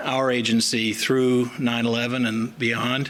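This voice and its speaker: Monotone, flat delivery with a slight Southern US accent, amid audible room echo and noticeable background noise. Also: man. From US South. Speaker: chief medical examiner. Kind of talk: formal speech. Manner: halting with fillers.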